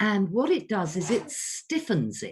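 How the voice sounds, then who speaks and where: A woman's vocal fry at a very slow pace. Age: 60s. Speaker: voice coach. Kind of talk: online workshop. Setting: video call.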